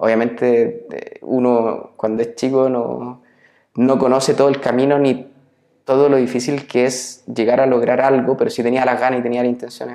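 This man has a Chilean accent and a medium pitch. He speaks at a moderate pace in a flat monotone. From Chile, Biobío region (Nacimiento). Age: 30s. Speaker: entrepreneur, former tennis player. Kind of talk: interview. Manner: halting, many repetitions and fillers.

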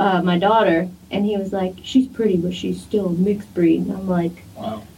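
In an ordinary speaking voice, a woman talks at a fairly quick pace with medium pitch and fairly even intonation.

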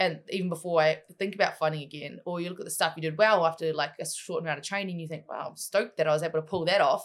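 In a New Zealand accent, a woman talks at a very fast pace with hardly any pauses, a fairly low pitch, fairly even intonation and big swings in loudness. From New Zealand, Waikato (Matamata). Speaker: MMA fighter and wrestler. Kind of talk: casual interview.

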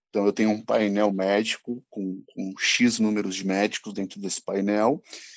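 A quiet background behind a man's moderate pace. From Brazil, São Paulo city. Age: 20s. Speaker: pharmaceutical sales representative. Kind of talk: casual chat.

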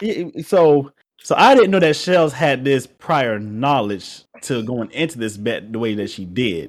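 A man of medium pitch at a fairly slow pace, with very wide pitch swings, on a very clean recording with a silent background. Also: hardly any pauses. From Georgia, US South. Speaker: podcast co-host. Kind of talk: casual chat.

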